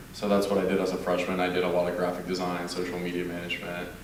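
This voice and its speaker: Spoken with an American accent, the clip carries noticeable background noise and an audible echo from the room. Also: man. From Mexico (Monterrey), grew up in Austin, Texas from age ten. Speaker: university alumnus panelist. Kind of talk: panel discussion self-introduction.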